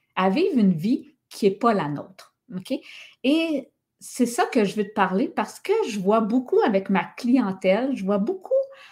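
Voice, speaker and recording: With a Quebec accent, a woman speaks fairly slowly in a somewhat breathy, fairly high voice, making very wide pitch swings and big swings in loudness. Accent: Québécois French. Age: 50s. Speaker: podcast host and wellness coach. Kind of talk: casual monologue podcast. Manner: animated, casual.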